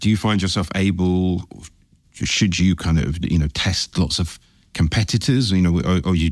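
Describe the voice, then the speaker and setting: In a very clean recording with a silent background, a man with a very deep, low pitch speaks at a moderate pace with ordinary pitch variation. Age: 40s. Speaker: podcast host. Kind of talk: interview. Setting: hotel.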